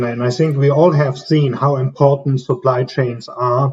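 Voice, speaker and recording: Speaking in a strong German accent, a man uses a fairly high, somewhat breathy voice with flat, monotone intonation. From Germany. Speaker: management consultant. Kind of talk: interview.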